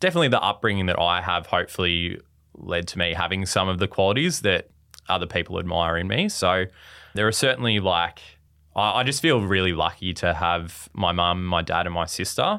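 This man talks at a fairly quick pace with a very deep, low pitch and an Australian accent. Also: ordinary pitch variation. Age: 20s. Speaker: primary school teacher. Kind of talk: casual chat. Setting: studio.

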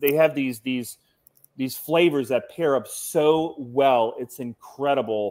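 Fairly high in pitch and fairly slow in pace, a man with a normal speaking voice talks with ordinary pitch variation. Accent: American. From Cincinnati, Ohio. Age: 40s. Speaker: cigar industry representative. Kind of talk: casual chat.

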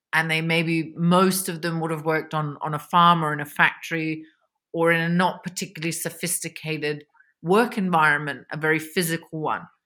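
Speaking at a moderate pace with a fairly low pitch, a woman with an Australian accent has a bright, sharp tone and fairly even intonation on a very clean recording with a silent background. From Australia (Victoria). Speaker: economist, China expert. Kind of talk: interview.

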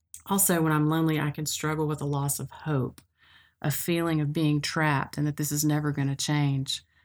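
A woman with a Tennessee accent talks fairly quickly in a very deep, low voice with monotone, flat intonation, on a very clean recording with a silent background. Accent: US Southern (Tennessee). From Middle Tennessee (Cookeville). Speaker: podcast host. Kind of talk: casual chat.

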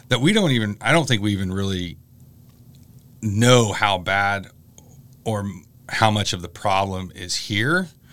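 Delivered at a fairly slow pace, the speech has long, frequent pauses and ordinary pitch variation. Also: man, fairly low pitch for a man. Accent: American. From US Midwest (Illinois). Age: 40s. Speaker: college professor. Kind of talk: interview. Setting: studio. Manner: halting, many fillers.

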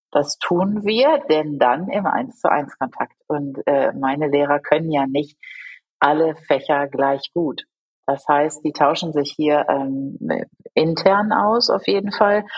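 With music in the background, a woman with a very deep, low pitch speaks at a very slow pace using lively intonation. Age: 40s. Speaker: school principal. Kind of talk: interview.

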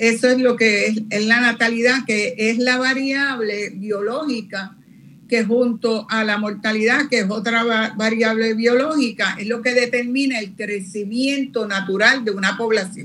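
A woman speaks at a fairly high pitch with a bright, sharp tone and fairly even intonation. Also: fairly slow pace. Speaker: demographer, retired professor. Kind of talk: interview.

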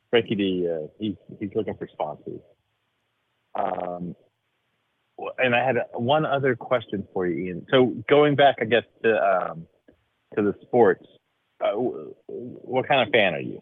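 Long, frequent pauses and big swings in loudness mark this man speaking in an American accent. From Dallas, Texas. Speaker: caller. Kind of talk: casual chat.

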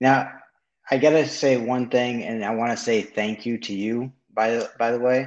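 A man with an ordinary speaking voice talks at medium pitch and a moderate pace, keeping his intonation fairly even. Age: 30s. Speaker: real estate wholesaler. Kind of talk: live show call-in.

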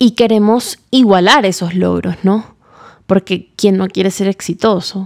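A woman with a medium pitch talks at a fairly slow pace. Her voice sounds dry and close, with no echo. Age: 20s. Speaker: podcast host. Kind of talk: casual monologue. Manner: animated.

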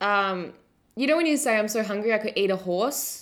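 In an Australian accent, a woman speaks at a fairly high pitch. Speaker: podcast co-host. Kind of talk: casual chat. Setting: online call.

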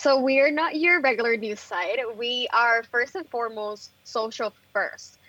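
This woman's voice is high-pitched, with a bright, sharp tone and a Puerto Rican accent, and she talks at a fairly slow pace with ordinary pitch variation and hardly any pauses. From Puerto Rico (Bayamón). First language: Spanish. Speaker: journalist and editor. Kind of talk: interview.

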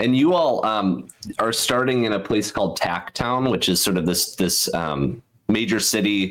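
A man with a normal speaking voice, fairly low in pitch, with lively intonation, very even loudness and a moderate pace. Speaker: game creator; game master. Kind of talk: tabletop roleplaying game session.

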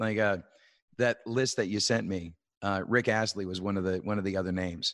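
A man with a Canadian accent has an ordinary speaking voice at a fairly low pitch and fairly even intonation. The recording is very clean with a silent background, and the sound is dry and close with no echo. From Canada. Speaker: musician. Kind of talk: casual chat.

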